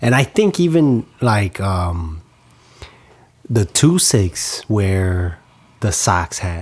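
An American-accented man speaks very slowly at a fairly low pitch, somewhat breathy, with long, frequent pauses. Even so, his intonation stays lively. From Chicago. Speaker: podcast host. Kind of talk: casual interview conversation.

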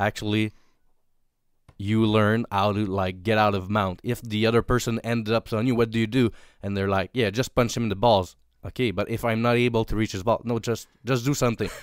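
On a very clean recording with a silent background, a man speaks with a Quebec accent. His pitch is fairly low, his pace fairly quick, and his intonation monotone and flat. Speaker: police officer. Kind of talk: casual chat.

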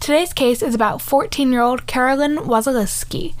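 A woman speaks at a moderate pace in a high pitch, with ordinary pitch variation.

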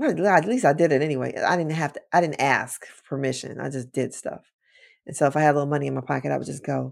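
A woman with an American accent at a very fast pace, with big swings in loudness. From Chicago, South Side. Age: 50s. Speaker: deliverance minister. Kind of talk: interview testimony.

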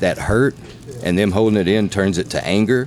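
A man at a fairly low pitch and moderate pace, with ordinary pitch variation and music in the background. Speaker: podcast host. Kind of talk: casual interview chat. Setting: on location at venue.

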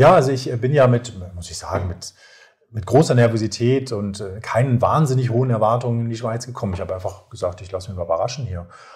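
Talking at a very fast pace, a man keeps a medium pitch with ordinary pitch variation while his loudness swings widely. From northern Germany, North Sea coast. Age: 40s. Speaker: nurse. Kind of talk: casual interview.

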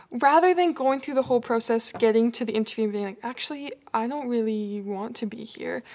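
Speaking with a Canadian accent, a woman goes at a very fast pace with hardly any pauses. Her pitch is fairly high. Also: ordinary pitch variation. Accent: Canadian, noticeable. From Canada. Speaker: people and culture coordinator. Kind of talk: casual interview.

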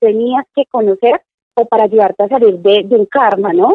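Fairly high in pitch, a woman's voice moves with ordinary pitch variation. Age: 30s. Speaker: psychologist. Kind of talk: casual interview.

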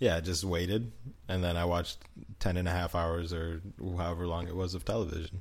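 Talking at a very fast pace, a man has a very deep, low, somewhat breathy voice. His intonation is fairly even, and room echo can be heard. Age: 20s. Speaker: podcast co-host. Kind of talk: casual chat.

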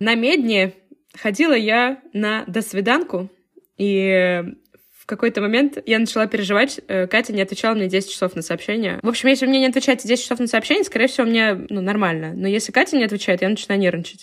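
A woman speaks in a normal speaking voice at a fairly quick pace. Her pitch is fairly high, with ordinary pitch variation. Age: 20s. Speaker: podcast co-host. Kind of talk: casual chat.

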